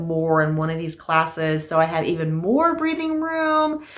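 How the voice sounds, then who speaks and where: A woman's voice with very wide pitch swings, noticeable background noise and audible room echo. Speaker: crafting vlogger. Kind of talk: casual chat. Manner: fast.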